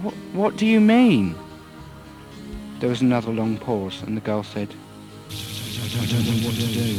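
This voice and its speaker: Music plays in the background behind a man. He speaks at a fairly slow pace with fairly even intonation. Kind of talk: audiobook story reading.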